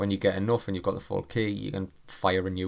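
Speaking in a British accent, a man has a very deep, low pitch. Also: very clean recording, silent background. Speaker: gaming podcaster. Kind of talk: solo podcast commentary. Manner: animated.

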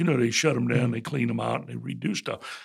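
A man with a south Louisiana accent talks in an animated tone. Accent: south Louisiana Southern US. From south Louisiana (Morgan City). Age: 70s. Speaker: retired bank CEO and author. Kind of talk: interview conversation. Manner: animated, folksy storyteller.

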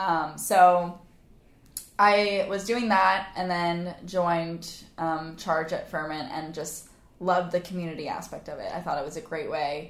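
Delivered at a fairly slow pace, the speech shows big swings in loudness amid audible room echo. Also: woman. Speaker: fitness instructor. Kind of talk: casual chat. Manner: animated.

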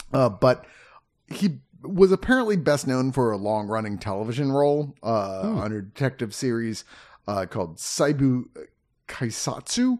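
A man with a normal speaking voice, medium-pitched with lively intonation, at a fairly slow pace against a quiet background. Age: 50s. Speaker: movie home-release reviewer. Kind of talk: casual chat.

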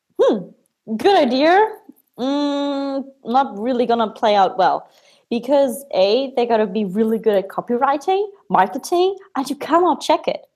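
A woman speaks in a high voice with a German accent. Her pace is fairly slow and her pitch swings very widely. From Germany. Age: 20s. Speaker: Amazon agency owner. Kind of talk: casual interview.

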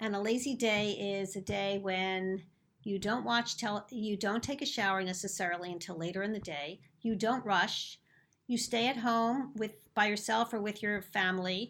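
A woman with a Philadelphia accent, medium pitch and ordinary pitch variation at a moderate pace, on a very clean recording with a silent background. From Philadelphia, US. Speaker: naturopathic doctor and acupuncturist. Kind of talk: interview conversation about health.

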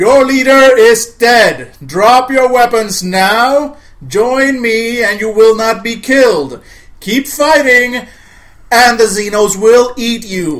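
In a put-on character voice, the speaker talks very slowly at a fairly high pitch. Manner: commanding, authoritative.

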